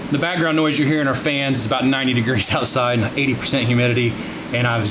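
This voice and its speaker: Noticeable background noise sits behind a man whose intonation stays fairly even. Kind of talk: product review tutorial. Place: garage. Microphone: phone near.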